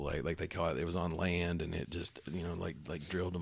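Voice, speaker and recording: A man with a very deep, low pitch and a Southern US accent on a very clean recording with a silent background. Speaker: gaming podcast co-host. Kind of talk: casual chat. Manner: hesitant, filler-heavy.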